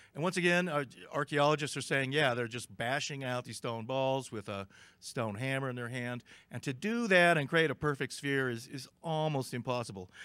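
With a bright, sharp tone, a man speaks at a moderate pace and ordinary pitch variation, the sound dry with no echo and the background quiet. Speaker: conference speaker. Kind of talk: lecture. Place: hall. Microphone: podium.

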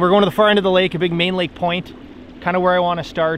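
A man with a high-pitched voice talks in a fairly even intonation, the sound dry with no echo and noticeable noise in the background. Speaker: fishing vlogger. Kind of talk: casual vlog chat. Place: boat. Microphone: phone near.

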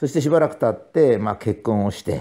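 Dark, mellow male speech at a fairly brisk clip, very cleanly recorded against total silence. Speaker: professor and author. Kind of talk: monologue talk.

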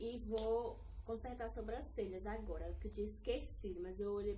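A woman talks at a moderate pace with light noise in the background. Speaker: beauty vlogger. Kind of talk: casual vlog chat. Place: home room. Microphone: phone near.

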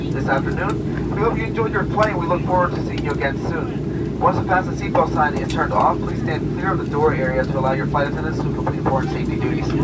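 Loud noise fills the background. A man talks at a very fast pace. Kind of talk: cabin announcement. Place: plane.

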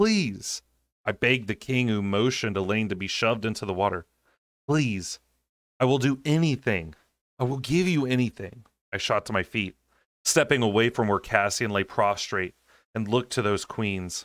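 A man speaks at a moderate pace with ordinary pitch variation and long, frequent pauses, the sound dry with no echo over a quiet background. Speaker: audiobook reader. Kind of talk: audiobook narration. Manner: soothing. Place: home room.

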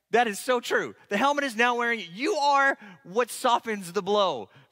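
Against a quiet background, a man projects a raised voice. His tone is bright and sharp, and his pace is moderate. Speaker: pastor. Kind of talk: sermon. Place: church. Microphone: headset.

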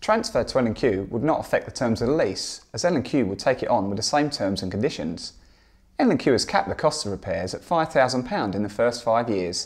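A man talks at a moderate pace with a quiet background. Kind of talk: interview answer. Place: home room. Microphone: lapel.

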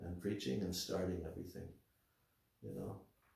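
A man speaks with a somewhat breathy voice and a dark, mellow tone. Audible room echo surrounds him against a quiet background. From United States. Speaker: spiritual teacher. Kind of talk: religious lecture. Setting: temple. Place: home room.

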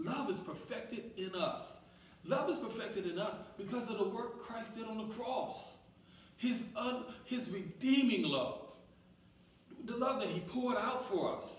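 A man speaks at a fairly slow pace with long, frequent pauses, with audible room echo and light background noise. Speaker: pastor. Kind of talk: sermon. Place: church.

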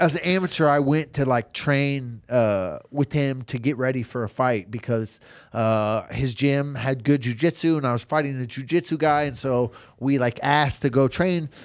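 Moderate pace and ordinary pitch variation over a quiet background. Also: man. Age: 30s. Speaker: professional MMA fighter; podcast guest. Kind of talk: casual chat. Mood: relaxed, animated storytelling. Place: studio. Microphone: studio mic.

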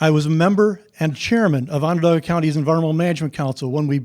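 On a very clean recording with a silent background, a man talks at a very fast pace. He has an upstate New York accent and fairly high pitch. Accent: US Northeast (upstate New York). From New York State. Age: 70s. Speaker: public hearing commenter, retired landscape architect. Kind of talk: public comment. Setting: public hearing.

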